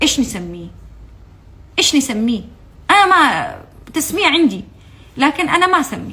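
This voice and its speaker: A woman speaks at a moderate pace. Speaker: former TV channel employee. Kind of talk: testimony. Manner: impassioned; halting.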